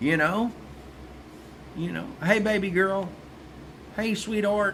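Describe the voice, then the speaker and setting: Amid audible room echo, a man with an American accent speaks at a very slow pace and a high pitch. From South Texas. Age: old. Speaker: vlogger. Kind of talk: opinion monologue. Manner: casual, repetitive stammering.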